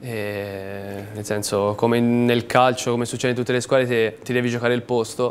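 A man speaks at a moderate pace and a medium pitch, with hardly any pauses. His intonation is monotone and flat, with light background noise. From Tuscany, Livorno; Tuscany. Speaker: professional footballer; guest. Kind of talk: TV sports talk show interview. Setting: TV studio. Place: studio.

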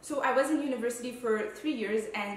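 A woman talks at a fairly quick pace with ordinary pitch variation, and room echo is audible. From Quebec. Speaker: food photographer and content creator. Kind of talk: casual Q&A vlog. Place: home room.

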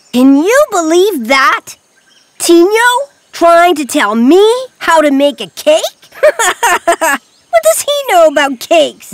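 This cartoonish character voice sits at an extremely high pitch and moves at a very slow pace. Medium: puppet show. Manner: excited, boastful.

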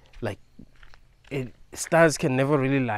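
In a dry sound with no echo, a man speaks at a moderate pace with fairly even intonation. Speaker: video creator. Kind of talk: philosophical monologue. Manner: rambling, repetitive; casual. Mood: reflective, philosophical. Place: open country. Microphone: phone near.

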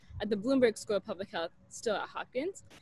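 A woman's voice with an American accent, a fairly high pitch and ordinary pitch variation, in a dry sound with no echo. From US Pacific Northwest, Portland, Oregon; Oregon. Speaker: medical student; podcast guest. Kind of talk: casual interview chat. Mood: warm, enthusiastic. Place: garden. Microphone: earbuds.

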